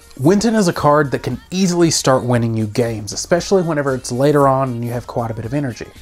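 Music plays in the background as a woman talks at a very fast pace. Her pitch swings very widely. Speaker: card game channel host. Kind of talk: game strategy explainer. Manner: casual.

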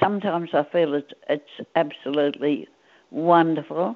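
A woman with an Australian accent speaks at a fairly low pitch, her intonation lively. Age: 80s+. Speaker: centenarian interviewee. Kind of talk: interview. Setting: phone call.

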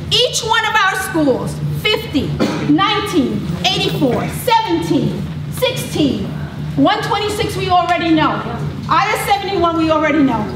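Loud background noise and audible room echo fill the recording. Through them, a woman speaks at a very slow pace. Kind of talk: impassioned public speech. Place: hall. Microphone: camera far.

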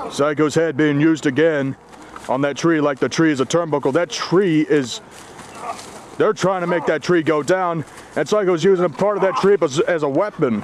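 Speaking at a moderate pace, a man has a fairly high pitch and ordinary pitch variation. His loudness stays very even over noticeable background noise. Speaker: wrestling commentator. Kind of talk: live wrestling commentary, backyard match call. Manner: ring announcer style intro.

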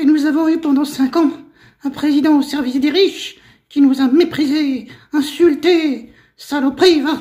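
A cartoonish character voice, high-pitched, at a moderate pace. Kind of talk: comic political heckling. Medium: puppet show. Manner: rude, indignant, sarcastic, colloquial.

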